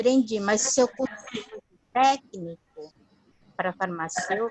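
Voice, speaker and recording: Her intonation is lively and her pitch fairly high. This woman speaks at a very slow pace. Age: 60s. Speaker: class participant. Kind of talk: question in online class.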